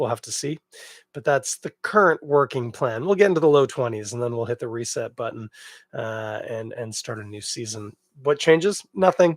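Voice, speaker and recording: An ordinary speaking voice with a Canadian accent moves at a fairly quick pace, its intonation lively and its loudness swinging widely, in a dry, close sound with no echo on a very clean recording with a silent background. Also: man. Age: 40s. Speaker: beer podcast host. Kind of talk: casual solo podcast monologue. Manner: relaxed, conversational.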